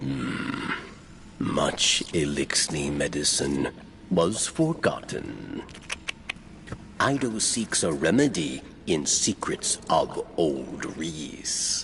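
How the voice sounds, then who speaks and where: In a put-on character voice with a very deep, low pitch, a man speaks at a very slow pace over clear background noise. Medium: video game. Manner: terse, clipped.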